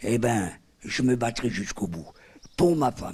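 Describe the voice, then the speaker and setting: A somewhat breathy, fairly low man's voice at a moderate pace. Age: 70s. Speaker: homeless pensioner interviewed. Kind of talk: testimony.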